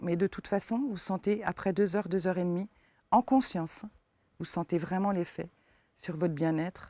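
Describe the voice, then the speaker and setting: A woman speaks at a moderate pace in a fairly low, dark and mellow voice with ordinary pitch variation. The recording is very clean with a silent background, and the sound is dry and close with no echo. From eastern France. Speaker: forest therapy guide. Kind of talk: interview. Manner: hesitant, many fillers.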